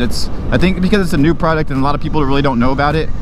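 A man speaks at a very fast pace with ordinary pitch variation. The sound is dry with no echo, though noticeable background noise is present. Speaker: motorcycle vlogger. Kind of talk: casual vlog chat. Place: motorbike.

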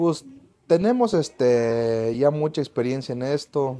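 A man speaks in a medium pitch with a dark, mellow tone. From Mexico, Michoacán (Lake Pátzcuaro area); Michoacán, Mexico. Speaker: hat maker. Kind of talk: product demonstration. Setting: hat workshop. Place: workshop. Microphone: lapel.

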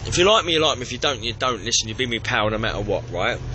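The intonation is lively, in a Cockney accent. Noticeable background noise sits behind the voice. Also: man. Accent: East London Cockney. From East London. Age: 20s. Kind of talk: drunken voicemail message. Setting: phone line. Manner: arrogant, ranting.

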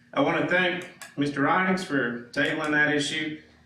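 A man speaks with fairly even intonation. There is audible room echo and noticeable background noise. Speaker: citizen speaking at public comment. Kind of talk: public comment at council meeting. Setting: council chamber, microphone off. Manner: loud.

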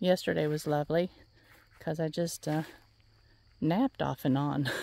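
A woman speaks at a fairly slow pace with a Southern US accent and a fairly low pitch. Her tone is dark and mellow, and the sound is dry with no echo. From US South. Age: 60s. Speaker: flower farmer and vlogger; vlogger. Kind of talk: casual walking vlog. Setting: outdoors. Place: farm. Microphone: phone near.

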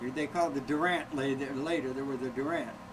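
Noticeable background noise sits behind a man speaking at a fairly quick pace. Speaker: grandfather, longtime corneal transplant patient. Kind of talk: interview answer, personal storytelling. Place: home room. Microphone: old recording.

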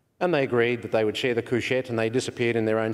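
A man with an Australian accent and monotone, flat intonation. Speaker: session chair. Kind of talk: anecdote telling. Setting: conference stage with audience. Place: hall. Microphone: podium.

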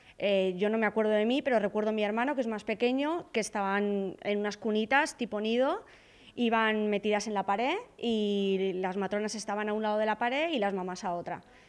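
At a fairly quick pace, a woman talks in a fairly high pitch with ordinary pitch variation. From Spain, Alicante; Spain. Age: 30s. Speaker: hospital maternity staff. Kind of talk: news interview. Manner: hesitant, with fillers. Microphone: handheld.

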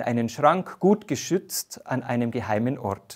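Over a quiet background, a man's speech unfolds at a fairly slow pace. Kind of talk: sermon. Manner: formal, measured; warm, earnest. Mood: warm, calm, reflective. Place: studio. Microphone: lapel.

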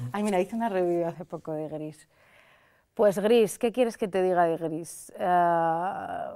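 In a Madrid accent, a woman speaks very slowly at medium pitch with a dark, mellow tone and ordinary pitch variation against a quiet background. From Madrid, Spain; Spain. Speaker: critic and video creator; video creator. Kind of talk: interview. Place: studio.

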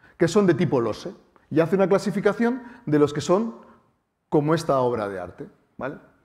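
Talking very fast against a quiet background, a man with a high voice swings his pitch very widely. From Spain, Bilbao (Basque Country); Basque Country, Spain. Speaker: mathematics professor and science communicator; mathematics professor. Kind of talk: public lecture. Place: hall.

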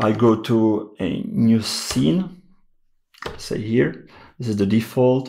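A man's medium-pitched voice with lively intonation, a very slow pace and long, frequent pauses, on a very clean recording with a silent background. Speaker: music gear youtuber. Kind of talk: tutorial. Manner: halting, many fillers.

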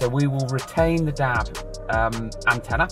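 A man speaks at a fairly slow pace. The sound is dry with no echo, and clear music plays in the background. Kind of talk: product walkthrough commentary. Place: car. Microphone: phone near.

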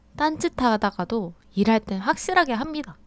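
A woman's high voice with very wide pitch swings. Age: 30s. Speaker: workwear shop worker. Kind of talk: vlog narration.

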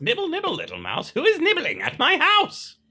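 Someone uses a squeaky, put-on character voice at a fairly quick pace. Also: man, extremely high pitch for a man.

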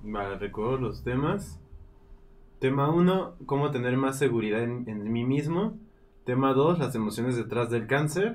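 A man talks at a fairly slow pace and medium pitch. Audible room echo fills the recording. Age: 30s. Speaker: live stream co-host and moderator. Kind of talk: casual live stream chat.

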